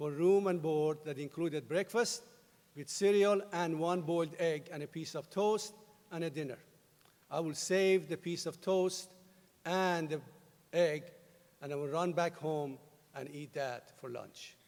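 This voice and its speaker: A man with a Persian accent speaks at a fairly slow pace in a high pitch, with long, frequent pauses. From Iran. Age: 50s. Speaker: university president. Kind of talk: commencement speech.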